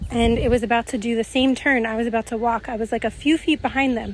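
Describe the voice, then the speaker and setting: A woman with an American accent, fairly even intonation and a moderate pace. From United States. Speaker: spiritual channeler. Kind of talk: storytelling monologue. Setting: outdoors, walking. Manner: casual, filler-heavy.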